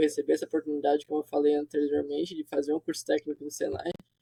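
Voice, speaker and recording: The voice belongs to a man. It sounds dry and close, with no echo. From southern Brazil, Santa Catarina (Criciúma). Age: 20s. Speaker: software developer. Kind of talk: interview.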